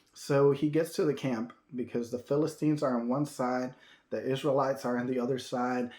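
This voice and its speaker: A man's medium-pitched voice at a moderate pace, monotone with flat intonation. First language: Spanish. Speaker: minister. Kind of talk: sermon. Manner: halting, many fillers and restarts.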